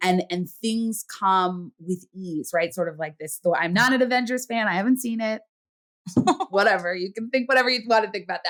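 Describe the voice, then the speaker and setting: Moving at a fairly quick pace, a woman's speech shows ordinary pitch variation. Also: medium pitch for a woman. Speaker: podcast host, clinical psychologist. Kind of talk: podcast interview conversation. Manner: loud, outspoken.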